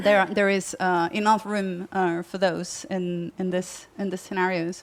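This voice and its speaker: A woman speaks at a medium pitch with a Spanish accent. Her intonation is monotone and flat, and her pace is fairly slow. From Spain. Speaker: journalist and author on technology. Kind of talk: panel discussion. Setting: festival conference stream with audience.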